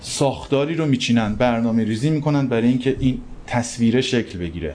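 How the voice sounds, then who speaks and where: The speaker is a man with a medium pitch and a dark, mellow tone. He moves at a fairly quick pace with lively intonation. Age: 30s. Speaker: photo editor at a news agency. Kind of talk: interview. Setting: live recording in a cafe.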